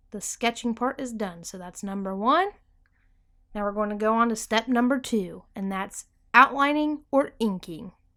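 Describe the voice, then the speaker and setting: In a very clean recording with a silent background, a woman with a plain, everyday voice speaks at a moderate pace and fairly high pitch, with ordinary pitch variation and big swings in loudness. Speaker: art tutorial YouTuber. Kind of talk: tutorial. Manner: casual.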